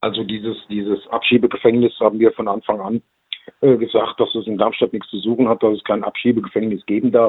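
At a fairly quick pace, a man talks with a medium pitch and monotone, flat intonation. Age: 60s. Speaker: local politician. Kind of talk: interview. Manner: hesitant, many fillers.

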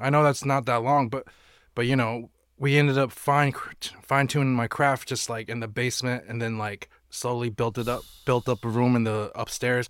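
A man speaks at a moderate pace in a medium pitch, his intonation flat and monotone. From Burlington, Vermont. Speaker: cannabis grower, company co-owner. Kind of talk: casual chat.

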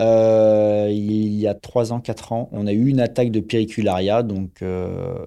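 A man's fairly low, dark and mellow voice over a quiet background. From Paris region, France. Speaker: stadium groundskeeper. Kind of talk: interview. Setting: on the stadium pitch.

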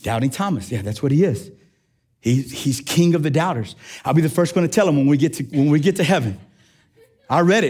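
Animated and energetic, a man speaks at a fairly quick pace with lively intonation and a fairly high pitch. His voice is somewhat breathy, on a very clean recording with a silent background. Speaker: preacher. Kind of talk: sermon. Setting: church. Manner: animated, energetic preaching; call-and-response, prompting congregation.

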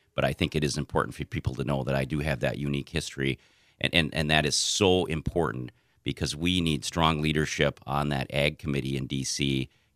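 On a very clean, dry and close recording with a silent background and no echo, a man with an American accent speaks fairly quickly. His pitch is very deep and low, with vocal fry and fairly even intonation. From southern Minnesota, US. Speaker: political candidate and agriculture lawyer. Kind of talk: interview. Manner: halting.

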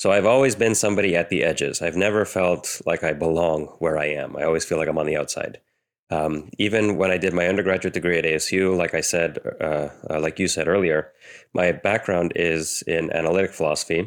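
Very deep and low, a man's voice moves at a fairly quick pace. His loudness is very even and his intonation fairly even. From US, Romanian immigrant family. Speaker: theologian and philosopher. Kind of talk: interview.

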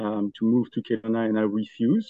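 Monotone and flat in intonation, a man talks at medium pitch in a Belgian accent. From Belgium. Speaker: furniture store owner. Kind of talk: casual interview chat.

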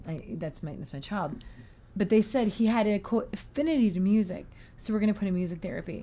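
Speaking very fast with lively intonation, a woman with an American accent has a dark, mellow, somewhat breathy tone at medium pitch. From US West Coast, Portland. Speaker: music therapist. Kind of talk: casual chat. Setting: studio.

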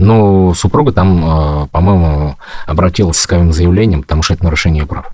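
A man speaks at a very deep, low pitch. Noticeable background noise can be heard. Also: ordinary pitch variation, moderate pace. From Bashkortostan, Ufa. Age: 40s. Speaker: husband of a political prisoner. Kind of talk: interview.

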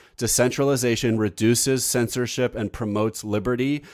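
In an ordinary speaking voice, a man speaks at a medium pitch and a moderate pace with ordinary pitch variation, on a very clean recording with a silent background. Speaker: podcast host and tech entrepreneur. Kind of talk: casual interview and news report, live recording.

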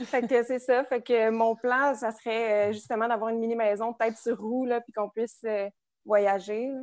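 Over a quiet background, a woman with a fairly high pitch talks at a moderate pace in a monotone, flat intonation, her loudness swinging widely. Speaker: social work student, house cleaner. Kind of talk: casual chat. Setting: video call.

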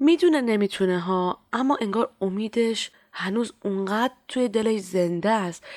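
The speaker uses a plain, everyday voice at a moderate pace. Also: woman. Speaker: storyteller and clinic volunteer. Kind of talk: scripted narration.

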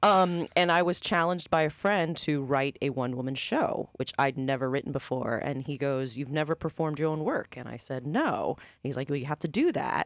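A man's fairly high, unremarkable speaking voice at a fairly quick pace, with ordinary pitch variation and hardly any pauses. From Lakeland, Florida (born in Puerto Rico). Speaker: playwright and actress, former radio co-host. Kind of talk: radio interview.

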